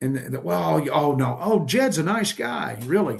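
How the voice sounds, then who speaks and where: Moving at a moderate pace, a man uses very wide pitch swings and vocal fry. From Texas. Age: 60s. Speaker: trucking safety expert. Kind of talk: podcast interview.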